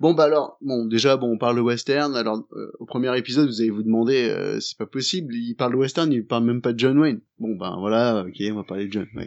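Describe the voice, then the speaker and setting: A man talks at a fairly quick pace with hardly any pauses, in a plain, everyday voice. His pitch is medium, with ordinary variation. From partly Indonesia. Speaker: podcast co-host. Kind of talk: casual chat.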